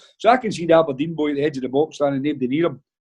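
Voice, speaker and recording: Against a quiet background, a man with a Glaswegian accent speaks at a fairly high pitch. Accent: Glaswegian Scottish. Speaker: football manager. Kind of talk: casual chat, anecdotes on a podcast. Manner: animated storytelling.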